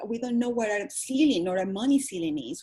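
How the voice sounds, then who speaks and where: A woman with a Spanish accent speaks in a fairly high pitch, her tone dark and mellow and her intonation lively. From Venezuela. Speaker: holistic wellness coach. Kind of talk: interview. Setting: radio or podcast interview.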